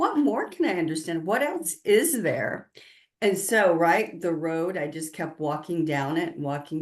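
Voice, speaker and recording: The speaker has an unremarkable speaking voice. The accent is American. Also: woman. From US South, southern Appalachia / southern Kentucky. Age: 60s. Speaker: spiritual consultant and author. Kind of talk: interview.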